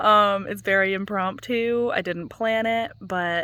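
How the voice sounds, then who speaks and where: Recorded very cleanly against a silent background, a woman speaks with a bright, sharp tone. Her pace is fairly slow. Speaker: gardening vlogger. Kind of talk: casual vlog chat. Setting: outdoors in garden at dusk. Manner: soft-spoken.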